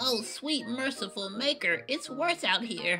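Over clear background music, a female-sounding put-on character voice speaks at a fairly slow pace with a high pitch. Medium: dub. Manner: upbeat.

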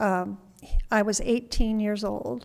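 Against a quiet background, a woman with an American accent speaks very slowly at a fairly high pitch. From western Kansas, US. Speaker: author. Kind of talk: public lecture. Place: classroom. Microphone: podium.

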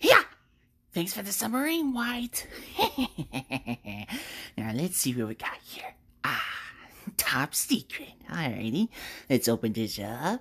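In a put-on character voice at a middle pitch, the speaker moves at a fairly slow pace with very wide pitch swings and long, frequent pauses. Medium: dub. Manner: gleeful, upbeat.

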